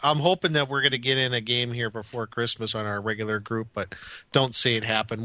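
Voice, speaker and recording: Against a quiet background, a man speaks at a fairly quick pace. His tone is bright and sharp at a medium pitch. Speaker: podcast host. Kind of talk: casual chat.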